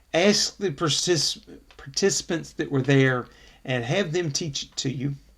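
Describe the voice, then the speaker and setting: A somewhat breathy, fairly high male voice at a fairly slow pace, with big swings in loudness. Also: ordinary pitch variation. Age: 60s. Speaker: associate pastor. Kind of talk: bible study closing remarks. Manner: halting, many fillers.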